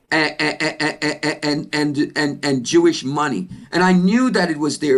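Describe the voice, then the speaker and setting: The recording is very clean, with a silent background. Pitch varies in an ordinary way. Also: man. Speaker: panelist, business executive. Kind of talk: panel discussion. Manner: loud.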